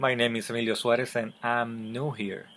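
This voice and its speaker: A man speaks with a Spanish accent. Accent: Spanish accent, noticeable. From Puerto Rico. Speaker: book vlogger. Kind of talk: casual vlog talk to camera. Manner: halting, many fillers and repeats; unedited, conversational.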